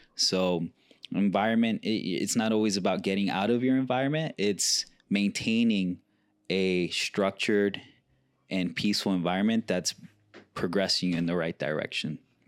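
With an American accent, a man in an unremarkable speaking voice talks at a moderate pace, fairly low in pitch with ordinary pitch variation and very even loudness, on a very clean recording with a silent background and a dry, close sound with no echo. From New York City. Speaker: podcast host. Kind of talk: casual chat.

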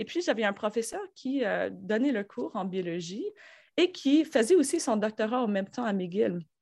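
Very wide pitch swings at a moderate pace, against a quiet background. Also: woman, fairly high pitch for a woman. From Quebec, north shore of Montreal. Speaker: university professor. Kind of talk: interview. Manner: hesitant, many fillers.

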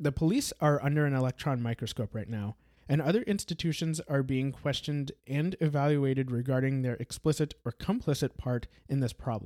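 With an American accent, a man in a plain, everyday voice speaks at a fairly high pitch and a fairly quick pace with hardly any pauses and ordinary pitch variation, recorded very cleanly against a silent background with a dry, close sound and no echo. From Brazil. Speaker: podcast host. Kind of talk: scripted narration.

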